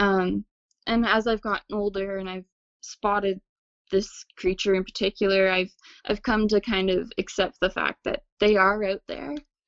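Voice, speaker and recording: Flat and monotone, a woman talks with a Nova Scotian accent. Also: medium pitch for a woman, moderate pace. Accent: Nova Scotian Canadian English. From Nova Scotia, Canada. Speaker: witness sharing encounter. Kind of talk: testimony.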